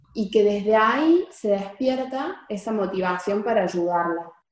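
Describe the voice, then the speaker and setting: Using very wide pitch swings, a woman with a fairly high pitch talks at a very slow pace. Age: 20s. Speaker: psychologist, researcher. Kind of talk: interview.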